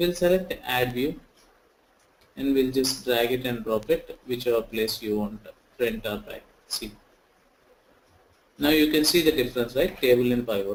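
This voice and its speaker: Long, frequent pauses break up this man's speech. His pitch is medium, with ordinary variation. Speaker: software trainer. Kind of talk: online tutorial. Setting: online session. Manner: slow.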